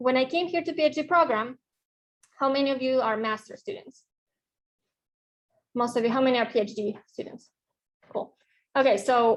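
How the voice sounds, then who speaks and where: Speaking with a Russian accent, a woman with a high pitch talks at a moderate pace with ordinary pitch variation. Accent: Russian accent, lasting. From Mexico. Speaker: professor. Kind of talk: lecture. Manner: halting, with fillers.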